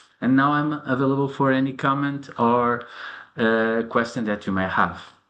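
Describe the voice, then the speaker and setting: A man at medium pitch and moderate pace, fairly even intonation, audible room echo. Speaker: pharmacist researcher presenting a study. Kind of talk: conference presentation and Q&A. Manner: halting with fillers and repetitions.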